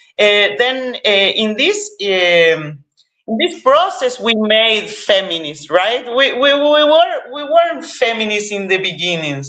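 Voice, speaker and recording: A woman's fairly high voice in an Argentine accent, very slow, with very wide pitch swings. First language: Spanish. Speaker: cannabis activist. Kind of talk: interview. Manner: halting, many fillers and repetitions.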